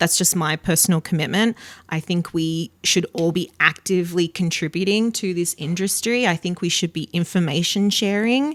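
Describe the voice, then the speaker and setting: With an Australian accent, a woman speaks at a fairly low pitch and a moderate pace with hardly any pauses, in a dry, close, echo-free, very clean recording with a silent background. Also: ordinary pitch variation. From Australia, south of Sydney. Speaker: event accessibility professional. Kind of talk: podcast interview.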